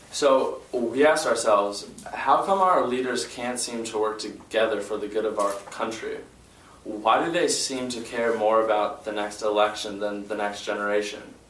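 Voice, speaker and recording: A man speaks at a medium pitch and a moderate pace with fairly even intonation, against noticeable background noise and audible room echo. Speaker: student leader. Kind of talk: press conference statement. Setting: press conference. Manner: halting, with fillers.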